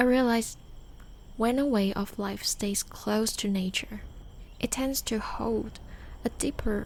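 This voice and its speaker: A gentle-toned, soft-spoken voice at a very slow pace. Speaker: podcast host and storyteller. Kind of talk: soft-spoken late-night podcast / sleep-aid storytelling. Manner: soft-spoken, gentle.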